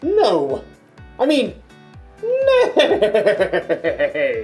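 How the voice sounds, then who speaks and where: A put-on character voice over faint music in the background. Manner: silly, goofy.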